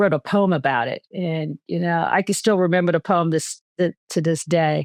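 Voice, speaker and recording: A woman with a normal speaking voice talks at a moderate pace and a fairly low pitch, her intonation fairly even, in a dry, close sound with no echo and a quiet background. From New York City, Queens. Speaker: retired army general and physician. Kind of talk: podcast interview.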